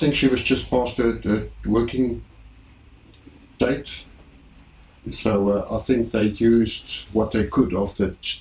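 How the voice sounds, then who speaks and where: Very slow and broken by long, frequent pauses, a man's medium-pitched voice carries vocal fry and fairly even intonation. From South Africa. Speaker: boat owner. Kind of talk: interview.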